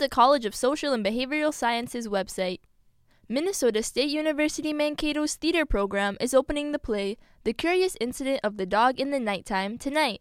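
Lively intonation at a fairly quick pace, on a very clean recording with a silent background and a dry, close sound with no echo. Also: woman. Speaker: news anchor. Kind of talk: news reading. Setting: studio. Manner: formal, crisp, measured.

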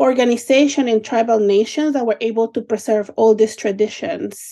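With a Spanish accent, a woman speaks at a fairly high pitch in a dark, mellow tone, using ordinary pitch variation. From Mexico City. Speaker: nonprofit operator, guest co-host. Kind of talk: radio panel discussion.

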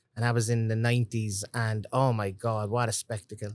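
Over a very clean, silent background, a man with a Cork accent speaks at a moderate pace in a medium pitch, his intonation monotone and flat, the sound dry and close with no echo. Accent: Cork Irish. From Ireland, Cork City. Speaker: master distiller. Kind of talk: casual interview. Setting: distillery tasting room.

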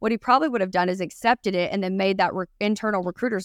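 A woman's animated, very fast delivery in a Texan accent, medium in pitch, with a dry, close sound and no echo. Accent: Texan Southern US. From Texas. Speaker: recruiting podcast co-host. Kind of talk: casual chat. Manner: fast talker.

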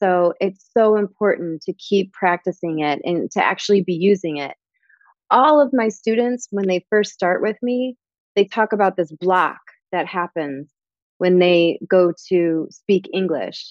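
Using a plain, everyday voice, a woman with an American accent speaks at a medium pitch and a fairly slow pace with ordinary pitch variation. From Michigan. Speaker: language teacher and tutoring business owner. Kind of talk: interview.

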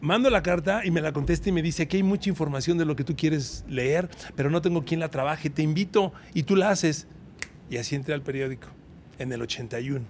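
A man with a Mexican accent at a fairly quick pace, his pitch fairly high. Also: ordinary pitch variation. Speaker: veteran sports journalist. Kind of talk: casual interview chat.

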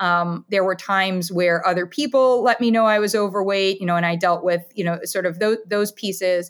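In a US Midwestern accent, a woman with a medium pitch talks at a moderate pace with hardly any pauses and very even loudness, on a very clean recording with a silent background. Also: fairly even intonation. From Ohio, US Midwest (Columbus). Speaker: dietitian. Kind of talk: interview conversation.

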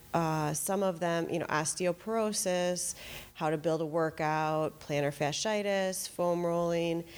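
An unremarkable speaking voice from a woman, fairly low in pitch, fairly slow, with fairly even intonation and very even loudness. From Wisconsin, US Midwest. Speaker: physical therapist. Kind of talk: casual interview. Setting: studio. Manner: frequent filler 'um'.

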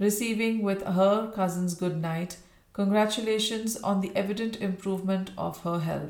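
Simply a natural reading voice

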